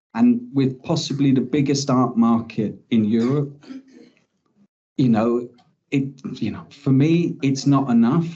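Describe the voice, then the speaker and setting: At a fairly slow pace, a man with an English accent speaks at a medium pitch with ordinary pitch variation, and audible room echo surrounds him. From England. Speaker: criminology researcher. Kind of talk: conference talk.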